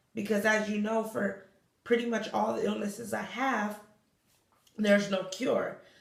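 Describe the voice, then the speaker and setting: With audible room echo, a woman speaks at a fairly high pitch and a fairly slow pace in a monotone, flat intonation. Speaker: vlogger with chronic illness. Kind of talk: personal vlog monologue. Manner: halting, self-correcting.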